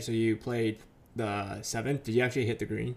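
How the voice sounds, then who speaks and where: A man with a plain, everyday voice speaks at a medium pitch and a fairly quick pace. The recording is very clean, with a silent background. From US West Coast. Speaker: podcast co-host. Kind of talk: casual chat.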